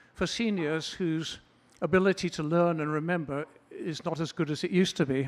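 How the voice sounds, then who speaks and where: At a moderate pace, a man is speaking. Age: 80s+. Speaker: comedy student, retired accountant. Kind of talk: stand-up. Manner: halting.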